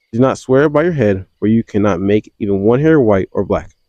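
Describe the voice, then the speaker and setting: Dark, mellow, fairly low-pitched male voice with a dry, close sound and no echo. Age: 20s. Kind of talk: scripture reading. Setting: outdoors.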